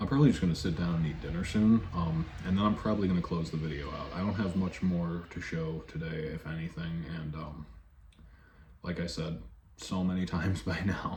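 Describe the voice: There is audible room echo as a man talks at a fairly quick pace, his pitch low and his tone slightly mellow.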